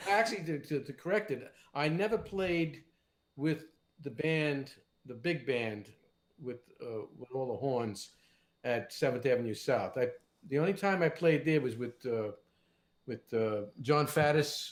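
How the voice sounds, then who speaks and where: Speaking in a New York accent, a man with a fairly high pitch and lively intonation talks at a fairly slow pace with long, frequent pauses. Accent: New York area. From New Jersey, Fort Lee. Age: 70s. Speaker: session guitarist. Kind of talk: casual interview chat.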